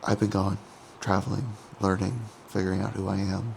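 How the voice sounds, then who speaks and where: Through noticeable background noise, a man with a fairly low pitch speaks at a fairly quick pace with lively intonation. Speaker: bodybuilder vlogger. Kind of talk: casual vlog. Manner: quiet.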